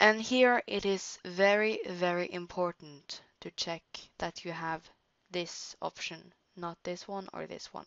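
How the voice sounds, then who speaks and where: A woman with a Norwegian accent speaks at a very slow pace in a fairly low voice. Her loudness swings widely. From Norway. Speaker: digital art tutorial creator. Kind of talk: tutorial. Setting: screen recording at home computer. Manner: halting.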